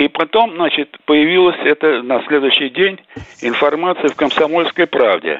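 This man has a normal speaking voice, fairly high in pitch, with ordinary pitch variation, very even loudness and a moderate pace. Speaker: caller. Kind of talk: call-in question. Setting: phone call.

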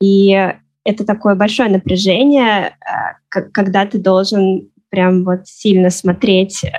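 Very slowly, a woman speaks at a medium pitch, with fairly even intonation and very even loudness. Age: 20s. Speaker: book blogger and media editor. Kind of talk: casual chat. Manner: hesitant, many fillers.

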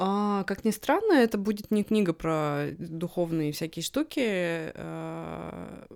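On a very clean recording with a silent background, a woman speaks at a very slow pace with hardly any pauses. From Russia. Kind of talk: casual interview chat. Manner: hesitant with many fillers.

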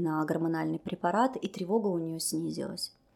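A woman's unremarkable speaking voice, fairly low in pitch with ordinary pitch variation, at a moderate pace in a very clean recording with a silent background. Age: 30s. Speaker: cognitive behavioral therapist. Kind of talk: interview.

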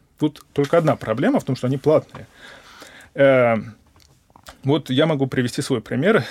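The delivery comes at a fairly quick pace with vocal fry and ordinary pitch variation. The sound is dry and close, with no echo. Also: man. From Moscow, Russia. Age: 20s. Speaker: research scientist. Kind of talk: interview. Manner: hesitant, with many fillers.

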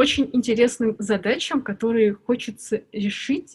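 The speech goes at a moderate pace, somewhat breathy, with ordinary pitch variation. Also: woman. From Armenia, Yerevan. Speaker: UX researcher and lecturer. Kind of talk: casual interview.

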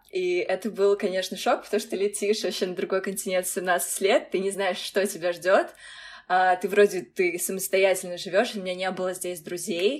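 The pace stays moderate. It is a woman, and her pitch sits in the middle range. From Russia (Kazan). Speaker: former international college student. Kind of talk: interview. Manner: hesitant, filler-heavy.

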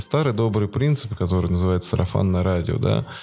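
Over music in the background, a man with a very deep, low pitch talks at a very fast pace with lively intonation. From Russia, Voronezh. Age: 40s. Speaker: volunteer organizer of weekly park runs. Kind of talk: casual interview.

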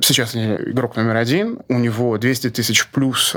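The delivery comes at a fairly slow pace. It is an unremarkable speaking voice. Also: man. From Russia (born in Grozny). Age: 40s. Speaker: e-commerce market researcher, company co-founder. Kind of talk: interview.

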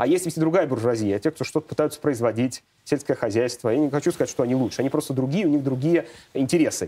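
Here a man speaks at a very fast pace. His pitch variation is ordinary. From Moscow, Russia. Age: 30s. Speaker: economist. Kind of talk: interview.

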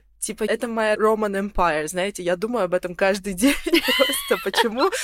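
At a fairly slow pace, a woman with a normal speaking voice talks at a medium pitch with ordinary pitch variation. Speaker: youtube blogger. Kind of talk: casual chat.

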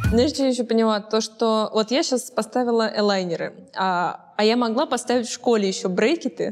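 A woman with an unremarkable speaking voice and a fairly high pitch talks at a moderate pace. Her pitch varies in an ordinary way and her loudness stays very even. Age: 20s. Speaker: talk show host. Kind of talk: casual interview chat.

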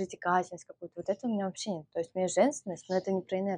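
Fairly even in intonation, a woman's dark, mellow tone comes through with a dry, close sound and no echo. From Russia, Moscow. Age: 20s. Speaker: dating coach. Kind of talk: interview.

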